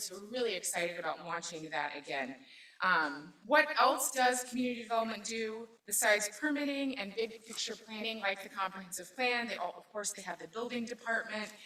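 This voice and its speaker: There is noticeable background noise behind a woman with a fairly high pitch. She talks at a fairly quick pace with lively intonation. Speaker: city government manager presenting budget. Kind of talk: public meeting budget presentation. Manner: halting, many fillers.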